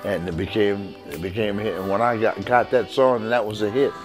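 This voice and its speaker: Music plays in the background as a man with an American accent speaks at a fairly quick pace. His pitch is medium with ordinary pitch variation. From Philadelphia, US. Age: 70s. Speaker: music producer and saxophonist. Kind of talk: interview reminiscence. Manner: halting, with restarts.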